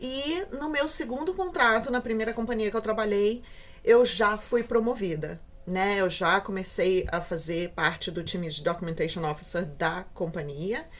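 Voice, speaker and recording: At a moderate pace, a woman with a medium-pitched voice talks with very wide pitch swings. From Brazil, Rio de Janeiro. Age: 30s. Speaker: cruise ship documentation officer, vlogger. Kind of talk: casual vlog introduction. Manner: halting, many fillers.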